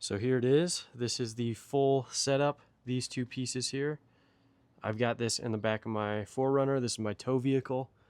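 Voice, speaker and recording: Using an unremarkable speaking voice, a man talks at medium pitch and a moderate pace, with fairly even intonation. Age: 20s. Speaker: carpenter. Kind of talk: casual tool walkthrough to camera.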